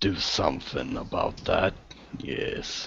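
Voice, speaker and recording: Raspy and fairly slow, a man performs a put-on character voice. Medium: actual play.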